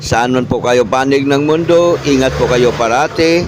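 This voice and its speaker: Fairly slow speech from a man, with noticeable background noise. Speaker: vlogger. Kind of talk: vlog narration update.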